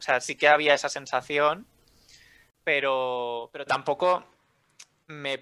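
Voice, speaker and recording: A man speaks at a very slow pace with long, frequent pauses, fairly even intonation and big swings in loudness. His voice is fairly high-pitched with a bright, sharp tone, on a very clean recording with a silent background. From Hospitalet, Barcelona, Spain. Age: 20s. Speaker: language academy co-founder. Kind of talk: interview.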